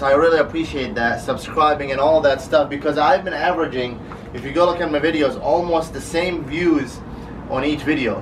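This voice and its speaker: A man's fairly high-pitched voice with fairly even intonation, amid audible room echo and noticeable background noise. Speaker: car vlogger. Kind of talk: casual vlog. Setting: garage. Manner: fast.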